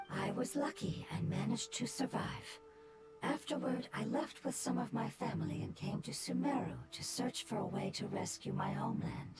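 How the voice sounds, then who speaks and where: A put-on character voice moves at a moderate pace. Loud background noise fills the recording. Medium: video game. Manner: formal, precise.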